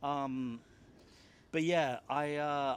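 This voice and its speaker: A man talks at a medium pitch. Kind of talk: interview answer.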